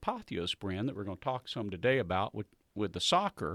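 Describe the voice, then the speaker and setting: A fairly quick-paced man with a Southern US accent and lively intonation, in a very clean recording with a silent background and a dry, close sound with no echo. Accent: Southern US (Georgia). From US South, Southwest Georgia. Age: 60s. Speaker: coffee business owner. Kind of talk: casual interview chat.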